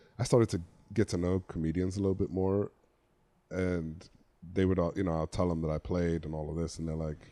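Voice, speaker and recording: With a slight English accent, a man speaks in a very deep, low voice with a dark, mellow tone, fairly even intonation and a fairly quick pace broken by long, frequent pauses. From England, London. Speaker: former football player turned comedian. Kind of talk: casual chat.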